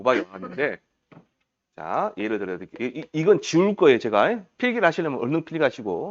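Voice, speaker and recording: A man talks at a fairly quick pace with vocal fry and a fairly high pitch over a quiet background. His tone is animated, with very wide pitch swings and big swings in loudness. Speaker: exam prep lecturer. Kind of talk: lecture. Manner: fast; animated, questioning.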